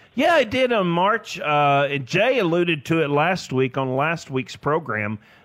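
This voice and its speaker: At a moderate pace, a man talks in a Tennessee accent on a very clean recording with a silent background. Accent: US Southern (Tennessee). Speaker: financial advisor. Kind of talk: casual radio interview.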